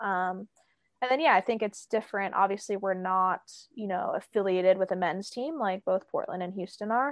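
With an American accent, a woman talks in a normal speaking voice at a medium pitch, with ordinary pitch variation and a moderate pace. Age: 30s. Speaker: professional soccer player. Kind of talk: interview.

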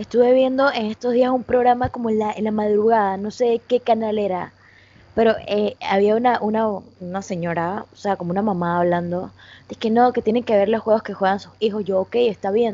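A woman with a fairly high voice talks at a fairly quick pace. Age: 20s. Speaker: gaming streamer. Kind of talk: casual chat. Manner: animated.

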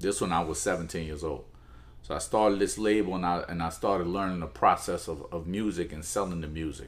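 With a very deep, low pitch and a New Orleans accent, a man talks at a fairly quick pace with ordinary pitch variation. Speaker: music executive. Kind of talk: interview.

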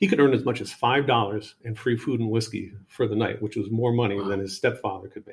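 A man with a fairly low pitch and a somewhat breathy voice. He talks at a very fast pace. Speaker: podcast host and storyteller. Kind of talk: history documentary narration. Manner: measured, storyteller-like narration.

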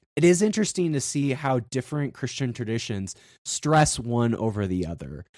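This man talks at a moderate pace with a medium pitch and an American accent. His pitch swings very widely, and the background is quiet. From South Dakota, US. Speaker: podcast host. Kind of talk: casual interview chat.

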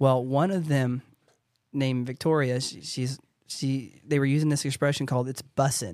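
With a normal speaking voice, a man talks at a moderate pace, medium in pitch and fairly even in intonation. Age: 30s. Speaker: real estate agent and podcast host. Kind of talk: casual chat.

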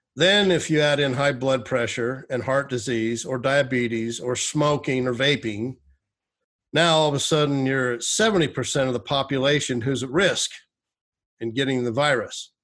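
An unremarkable speaking voice from a man, with ordinary pitch variation. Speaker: podcast host. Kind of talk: solo podcast monologue. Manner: casual, with frequent fillers.

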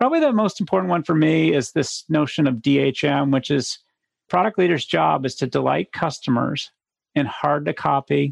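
Vocal fry runs through a man's fairly high voice as he talks at a moderate pace with ordinary pitch variation.

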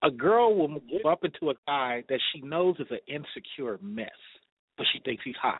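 A man's normal speaking voice, fairly high in pitch, with lively intonation and a moderate pace. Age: 40s. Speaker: caller. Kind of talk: phone-in advice chat. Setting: phone call from his desk at work.

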